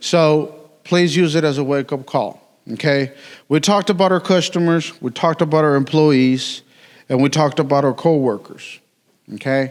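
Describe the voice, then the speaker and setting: A man with a Mexican accent, fairly high in pitch, at a moderate pace with ordinary pitch variation and very even loudness, on a very clean recording with a silent background. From Mexico. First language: Spanish. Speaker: city utilities worker. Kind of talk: conference talk. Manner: casual, joking.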